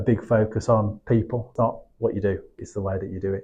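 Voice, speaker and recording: At a moderate pace, a man with a medium-pitched, somewhat breathy voice speaks in a dark, mellow tone over a quiet background. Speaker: construction company director. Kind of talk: podcast interview. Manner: halting, with repeated words.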